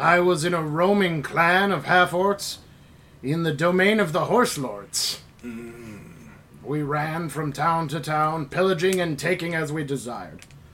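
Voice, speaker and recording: Using a put-on character voice, a man speaks in a high pitch at a moderate pace. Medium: actual play. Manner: earnest, proud.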